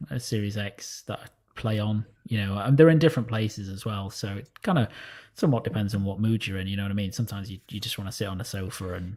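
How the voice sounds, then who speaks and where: Very fast, somewhat breathy male speech at a fairly low pitch with ordinary pitch variation, on a very clean recording with a silent background. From northern England, Sheffield. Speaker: gaming podcast panelist. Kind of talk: casual chat.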